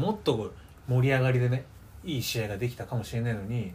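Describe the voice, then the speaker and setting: Somewhat breathy male speech at a fairly quick clip. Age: 20s. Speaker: podcast co-host. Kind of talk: casual chat. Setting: recording at co-host's home.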